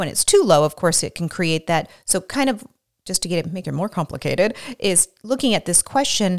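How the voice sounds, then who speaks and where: A woman with an ordinary speaking voice talks at a fairly quick pace with ordinary pitch variation, on a very clean recording with a silent background and a dry, close sound with no echo. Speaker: physician and hormone specialist podcast host. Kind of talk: casual educational podcast conversation.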